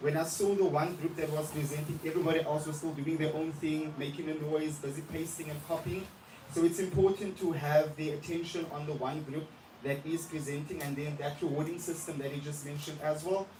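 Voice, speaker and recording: Fairly quick and flat, a man's fairly high voice holds a monotone delivery. Noticeable background noise and audible room echo fill the recording. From South Africa, Johannesburg. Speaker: primary school English teacher. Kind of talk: lesson feedback at a teacher observation meeting.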